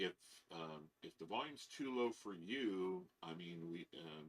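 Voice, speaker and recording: The speaker is a man. The rise and fall of his voice is typical. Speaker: live stream host, marble collector. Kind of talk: live stream chat.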